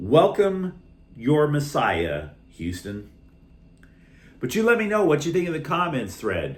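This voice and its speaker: A man's somewhat breathy voice, fairly high in pitch, at a fairly slow pace with long, frequent pauses and very wide pitch swings, in audible room echo. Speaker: sports channel host. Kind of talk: sports commentary monologue.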